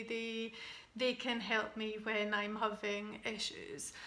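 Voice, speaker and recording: A woman with a Scottish accent speaks in a bright, sharp tone. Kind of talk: personal vlog talk to camera. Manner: slow, halting, hesitant.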